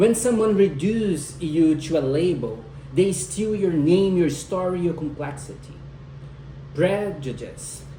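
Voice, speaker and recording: A man with a non-native accent at a fairly high pitch and fairly slow pace, amid audible room echo and noticeable background noise. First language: not English. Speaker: student speaker. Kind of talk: speech. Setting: at home with husband and dog listening.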